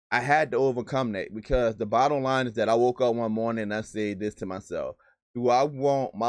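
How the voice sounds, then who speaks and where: Over a quiet background, a man with a Southern US accent talks at a fairly quick pace in a medium pitch, his tone animated. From US South. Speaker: sales trainer and YouTuber. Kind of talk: live stream Q&A. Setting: live stream. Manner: fast.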